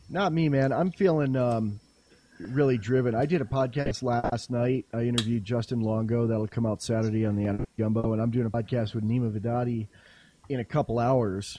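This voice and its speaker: A man with a dark, mellow tone, a medium pitch and an American accent. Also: ordinary pitch variation. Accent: slipping into a put-on rural drawl at times. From California. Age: 40s. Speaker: podcaster. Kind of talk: casual chat. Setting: online voice call.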